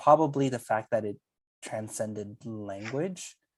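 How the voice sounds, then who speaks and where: In a very clean recording with a silent background, a man with a Spanish accent speaks at a medium pitch with ordinary pitch variation, the sound dry and close with no echo. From California Central Valley (Salvadoran immigrant). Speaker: pastor and theologian. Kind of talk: casual conversation.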